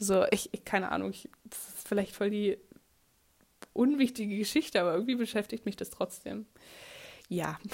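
A woman is talking. Her voice is medium in pitch. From Germany. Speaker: podcaster, au pair. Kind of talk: casual monologue.

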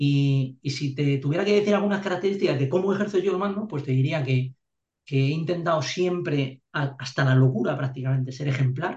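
This man's voice is somewhat breathy and fairly high in pitch. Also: ordinary pitch variation, fairly quick pace. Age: 40s. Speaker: army officer. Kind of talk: interview. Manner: halting, many repeated words.

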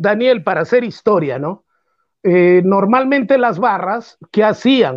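Lively intonation at a very slow pace. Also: man, high pitch for a man. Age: 60s. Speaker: football pundit. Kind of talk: radio football talk show.

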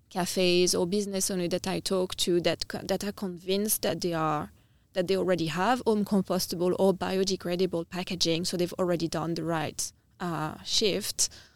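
Flat, monotone speech from a woman at a medium pitch in a French accent, on a very clean recording with a silent background. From France, Nice (south of France). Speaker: startup founder and CEO. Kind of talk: podcast interview.

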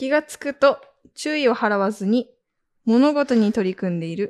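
Using lively intonation, a woman speaks at a fairly slow pace with long, frequent pauses and big swings in loudness. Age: 20s. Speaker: podcast co-host. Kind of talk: reading aloud; casual chat.

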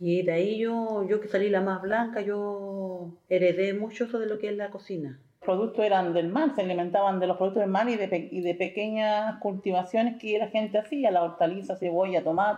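A plain, everyday voice at a moderate pace, with fairly even intonation and hardly any pauses. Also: woman, medium pitch for a woman. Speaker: Afro-Chilean community member. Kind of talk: testimony.

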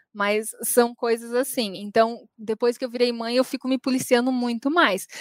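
Recorded with a dry, close sound and no echo, a woman speaks at a high pitch. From São Paulo, Brazil. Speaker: university tutor and radio presenter. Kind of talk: interview.

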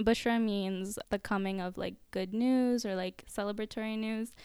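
With an American accent, a woman talks at a moderate pace in an unremarkable speaking voice, her pitch fairly high, on a very clean recording with a silent background. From US, Orlando area, Florida. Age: 20s. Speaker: social worker. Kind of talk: casual chat.

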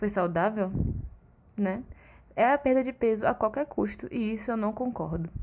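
A woman's fairly high, somewhat breathy voice carries lively intonation. She speaks at a moderate pace. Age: 20s. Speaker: nutritionist podcast host. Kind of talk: casual solo podcast talk. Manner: animated.

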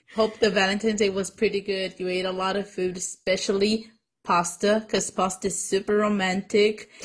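A woman's medium-pitched, somewhat breathy voice, fairly quick, with monotone, flat intonation. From Mexican-American. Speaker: podcast co-host. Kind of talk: casual chat.

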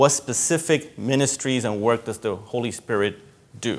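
The speaker is a man with a Spanish accent. He keeps a moderate pace. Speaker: pastor. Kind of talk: sermon. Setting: church. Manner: conversational.

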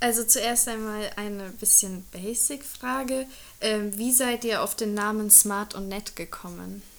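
Speaking very slowly, a woman uses a fairly high pitch. Her intonation is fairly even. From Germany. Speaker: intern. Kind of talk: casual interview.

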